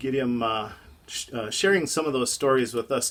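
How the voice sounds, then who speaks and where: This man speaks with an Upper Midwest accent. His pitch is fairly high, with ordinary pitch variation. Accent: Upper Midwest American. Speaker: ham radio hobbyist vlogger. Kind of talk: casual vlog narration.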